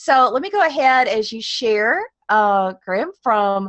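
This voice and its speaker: The speaker has a Southern US accent and lively intonation. Music plays in the background. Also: woman. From Georgia, US South. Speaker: teacher and education blogger. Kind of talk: webinar presentation. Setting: online webinar.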